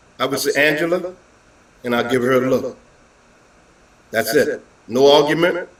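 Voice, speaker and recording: A man's voice with ordinary pitch variation. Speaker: guest panelist. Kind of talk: panel talk show discussion. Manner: loud.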